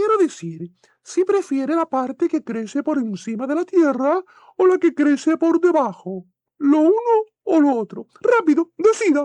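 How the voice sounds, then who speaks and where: Doing a put-on character voice, a woman speaks at a high pitch with very wide pitch swings at a moderate pace. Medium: read story.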